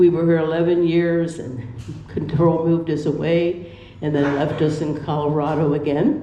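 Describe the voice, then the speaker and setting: A woman with an American accent speaks at a moderate pace with a very deep, low pitch and fairly even intonation. Noticeable background noise and audible room echo are present. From Pennsylvania. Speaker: retirement community resident. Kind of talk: personal life story. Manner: halting.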